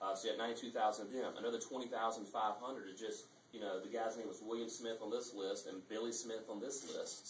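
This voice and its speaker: A man's fairly quick speech with audible room echo and light background noise. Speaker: speaker. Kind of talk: speech to an audience. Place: hall.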